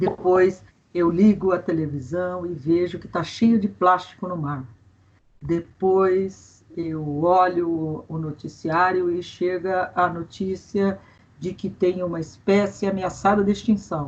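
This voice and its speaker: Speaking very slowly, a woman with a fairly low pitch keeps her intonation fairly even but swings widely in loudness. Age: 60s. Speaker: environmental expert, forestry engineer and teacher. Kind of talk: interview.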